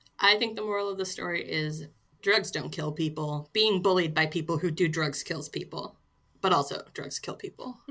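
A woman with an ordinary speaking voice talks at a moderate pace with a fairly low pitch. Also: ordinary pitch variation. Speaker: podcast editor. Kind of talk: casual chat.

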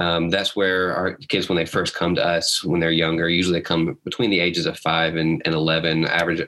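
A man with an American accent speaks at a moderate pace in a very deep, low voice, his intonation monotone and flat. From US South, Huntsville, Alabama. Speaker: doctor and nonprofit founder. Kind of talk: interview storytelling.

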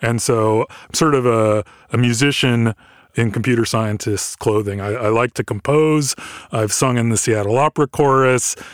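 Medium-pitched male voice at a moderate pace with fairly even intonation, dry and close with no echo, on a very clean recording with a silent background. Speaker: senior researcher. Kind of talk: casual interview. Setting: studio.

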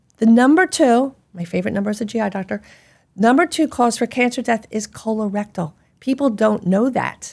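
A woman's fairly high, normal speaking voice in an American accent, with lively intonation and a fairly quick pace, on a very clean recording with a silent background. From Philadelphia. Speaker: gastroenterologist. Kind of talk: interview.

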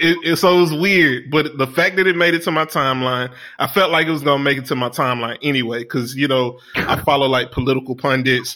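Speaking at a fairly quick pace with hardly any pauses, a man with a fairly high pitch is heard over noticeable background noise. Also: very even loudness. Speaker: podcast co-host. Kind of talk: casual chat. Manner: animated.

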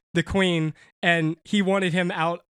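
In a very clean recording with a silent background, a man speaks at a high pitch. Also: dry, close sound with no echo. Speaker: comic book podcast co-host. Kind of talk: casual chat.

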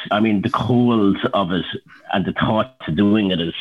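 A man's fairly low-pitched voice with an Irish Midlands accent. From Ireland, County Laois. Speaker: entrepreneur. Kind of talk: casual interview.

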